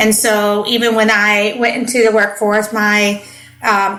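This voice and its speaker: Against music in the background and audible room echo, a woman with a Midwestern US accent speaks at a moderate pace in a fairly high pitch with fairly even intonation. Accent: Midwestern US, adopted. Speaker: podcast host, parenting coach. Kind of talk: casual podcast monologue.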